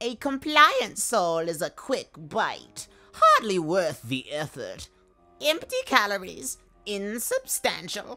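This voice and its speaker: Over music in the background, a female-sounding put-on character voice at medium pitch moves at a very slow pace. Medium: audio drama. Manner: grand, theatrical.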